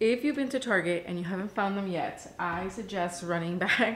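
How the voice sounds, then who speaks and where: Speaking at a fairly quick pace, a woman uses ordinary pitch variation. There is light background noise. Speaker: lifestyle vlogger. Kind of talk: casual vlog chat, product review. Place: kitchen. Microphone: camera far.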